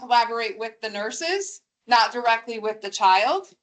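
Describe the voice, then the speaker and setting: A woman talks in a high voice at a fairly slow pace. Her intonation is lively. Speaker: school district official. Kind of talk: q&a at public meeting. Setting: meeting room with microphone. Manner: loud; formal.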